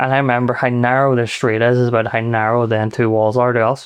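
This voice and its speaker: A man with a Belfast accent speaks at a fairly quick pace in a medium pitch, with a quiet background. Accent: West Belfast. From Northern Ireland, West Belfast. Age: 30s. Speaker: private chef. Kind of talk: casual chat.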